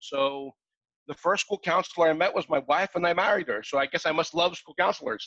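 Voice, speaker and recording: A man with a bright, sharp tone and a high pitch speaks at a fairly quick pace with ordinary pitch variation, in a dry, close sound with no echo. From Australia and Greece. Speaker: software creator. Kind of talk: interview. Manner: halting.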